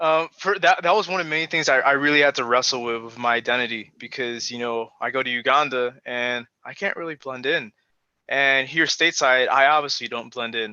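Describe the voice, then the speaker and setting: A man with a Chicago accent speaks at a fairly quick pace and medium pitch. His tone is bright and sharp, with ordinary pitch variation. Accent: American, Chicago. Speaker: panelist. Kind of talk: panel discussion. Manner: halting, many fillers.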